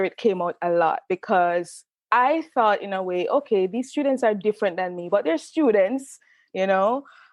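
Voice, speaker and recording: With a strong Jamaican accent and lively intonation, the speaker goes at a moderate pace, the sound dry and close with no echo over a quiet background. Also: woman. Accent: pronounced Jamaican. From Jamaica, Saint Catherine. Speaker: author and creative writing professor. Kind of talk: interview conversation.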